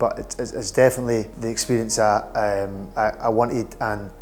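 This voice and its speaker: Music plays behind a man speaking with a Scottish accent. His pitch is medium and his intonation fairly even. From Edinburgh, Scotland. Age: 20s. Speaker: hair transplant patient. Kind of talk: patient testimonial interview answer. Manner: hesitant, casual.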